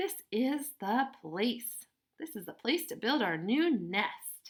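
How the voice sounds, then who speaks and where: A female-sounding put-on character voice, high-pitched, with very wide pitch swings at a very slow pace. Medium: read story.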